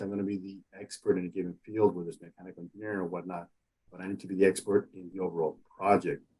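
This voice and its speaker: A man talks at a very fast pace with a Spanish accent. His pitch is fairly low. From Mexico. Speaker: engineer and STEM outreach coordinator. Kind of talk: interview.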